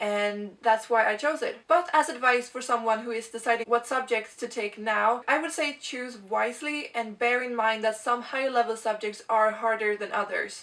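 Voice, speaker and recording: A woman talks with a Swedish accent. Noticeable background noise can be heard. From Sweden. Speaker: video blogger. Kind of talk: casual vlog talk.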